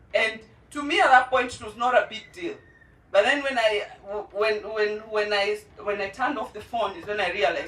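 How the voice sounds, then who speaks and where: The woman's pitch sits fairly high. She talks at a fairly quick pace. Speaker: parent speaking at a launch event. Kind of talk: testimony.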